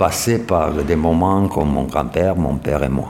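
A man with a Romanian accent speaks with audible room echo. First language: Romanian (speaking French). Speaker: Romanian community leader, former designer. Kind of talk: interview testimony.

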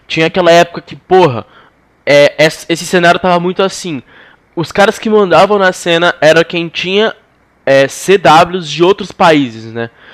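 A man with high pitch at a moderate pace, in a dry, close sound with no echo. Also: ordinary pitch variation. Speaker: podcast host. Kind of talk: casual chat.

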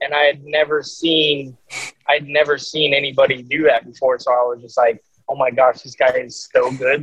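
Speaking with a Southwestern US accent, a man uses a fairly high pitch. His intonation is fairly even and his pace moderate. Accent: American (Southwest). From Arizona. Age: 30s. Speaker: professional disc golfer. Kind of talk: casual interview.

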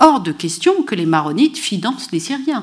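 Moving at a moderate pace, a woman's voice shows very wide pitch swings. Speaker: history professor. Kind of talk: lecture.

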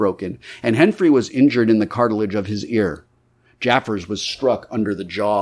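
The pitch varies in an ordinary way. The text is read aloud in a natural voice.

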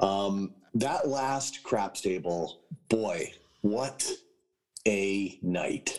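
Talking very slowly with long, frequent pauses, a man speaks at a fairly low pitch with ordinary pitch variation. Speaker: podcast co-host. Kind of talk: casual chat.

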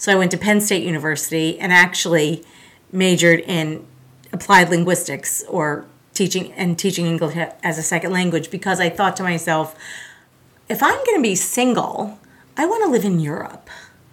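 This woman speaks at a moderate pace with a fairly low pitch and ordinary pitch variation. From South Florida. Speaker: art teacher. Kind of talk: casual interview. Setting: studio. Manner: energetic.

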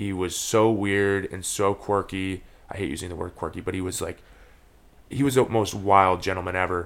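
With an American accent, a man speaks at a moderate pace in a very deep, low pitch, his intonation fairly even. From Minnesota and Brazil (Campinas). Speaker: optometry student. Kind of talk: casual interview. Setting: childhood home basement, in person.

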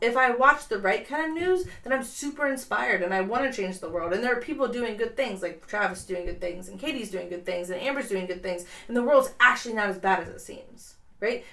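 A woman's fairly high voice in an American accent, fairly quick with lively intonation and big swings in loudness, over noticeable background noise. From Columbus, Ohio. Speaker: podcast guest, founder of a candle company. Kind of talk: casual, conversational. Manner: fast talker.

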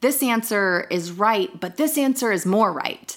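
In an ordinary speaking voice with an American accent, a woman talks at a moderate pace with lively intonation. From Northern Virginia, US. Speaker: acupuncturist and herbalist. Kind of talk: casual interview chat.

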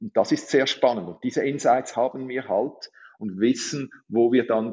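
A man is talking. His pace is moderate, with ordinary pitch variation. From Switzerland. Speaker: recruiting tech executive. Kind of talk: podcast interview.

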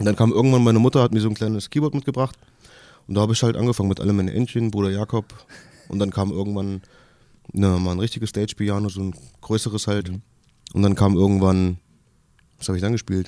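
Talking at a very fast pace with fairly even intonation, a man leaves long, frequent pauses. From Kassel, northern Hesse. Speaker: musician and casting show contestant. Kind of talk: radio interview. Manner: halting.

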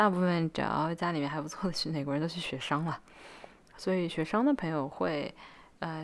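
Her very deep, low voice carries fairly even intonation as the woman speaks. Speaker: student vlogger. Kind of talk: casual advice talk to camera. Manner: frequent fillers and hesitations.

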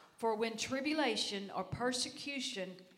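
Amid noticeable background noise, a woman with a fairly high pitch and lively intonation speaks at a fairly slow pace. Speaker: church member. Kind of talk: reading aloud scripture. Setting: church.

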